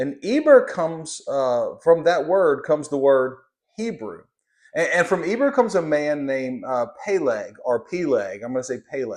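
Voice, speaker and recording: A man speaks at a moderate pace. He has a slight Southern US accent. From Louisiana, US South. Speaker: Bible teacher. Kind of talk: Bible lesson. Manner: halting, many fillers.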